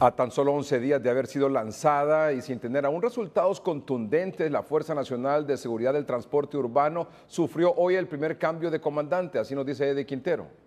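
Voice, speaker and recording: In an unremarkable speaking voice, a man with a fairly high pitch talks at a fairly quick pace with ordinary pitch variation and hardly any pauses. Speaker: news anchor. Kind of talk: news reading.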